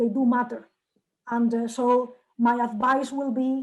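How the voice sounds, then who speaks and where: High in pitch, a woman talks at a very slow pace with monotone, flat intonation. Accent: Spanish. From Spain. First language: Spanish. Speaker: journal editor. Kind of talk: Q&A session. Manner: halting.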